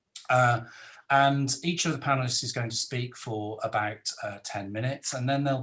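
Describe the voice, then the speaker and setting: A man at a medium pitch, moderate pace and ordinary pitch variation, against a quiet background. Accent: Welsh. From South Wales. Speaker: academic moderator. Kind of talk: webinar moderation. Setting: video call. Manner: hesitant.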